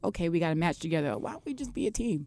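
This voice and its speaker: Her voice sits at a fairly low pitch with a dark, mellow tone, and the woman is heard on a very clean recording with a silent background. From Brooklyn, New York. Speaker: professional wrestler. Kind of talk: radio interview. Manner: animated, quoting dialogue.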